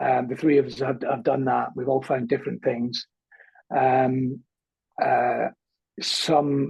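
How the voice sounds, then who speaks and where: A man with a Scottish accent, fairly high-pitched and somewhat breathy, with fairly even intonation at a fairly slow pace. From Scotland, small town. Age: 50s. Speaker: comedian. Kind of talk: interview, personal life story. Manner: hesitant, many fillers and repetitions.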